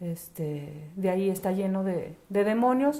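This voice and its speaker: Through audible room echo, a woman speaks at a medium pitch in a dark, mellow tone. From northern Mexico, Chihuahua and Ciudad Juárez. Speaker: children's charity worker. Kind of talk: interview.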